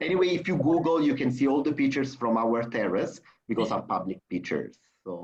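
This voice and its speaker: A man in an Italian accent talks at a very fast pace and a medium pitch, with lively intonation. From Italy. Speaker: hotel sales representative. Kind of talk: video webinar interview. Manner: animated.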